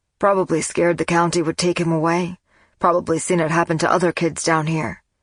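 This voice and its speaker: A raspy, put-on character voice talks at a fairly quick pace. Its intonation is monotone and flat, and its loudness stays very even. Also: woman, fairly low pitch for a woman. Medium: read story. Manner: calm, measured.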